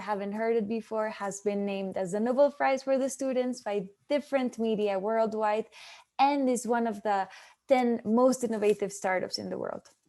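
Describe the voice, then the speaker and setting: A woman with a non-native accent speaks at a moderate pace and fairly high pitch in a dark, mellow tone, with fairly even intonation, against a quiet background. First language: not English. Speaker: startup prize representative. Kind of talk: webinar presentation. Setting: online webinar.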